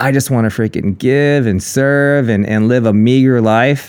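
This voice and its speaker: A man's medium-pitched voice shows ordinary pitch variation while he talks at a moderate pace. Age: 40s. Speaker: inspirational speaker. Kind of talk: casual chat. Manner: animated.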